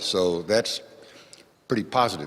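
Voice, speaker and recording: The man speaks at a moderate pace. His pitch shows ordinary variation. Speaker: church treasurer. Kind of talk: financial report at meeting. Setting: parish meeting with audience.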